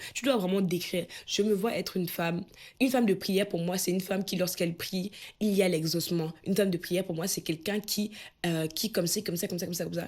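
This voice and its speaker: A woman talks at a very fast pace with fairly even intonation on a very clean recording with a silent background. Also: medium pitch for a woman. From Cameroon. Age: 20s. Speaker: personal development coach. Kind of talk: motivational talk to camera.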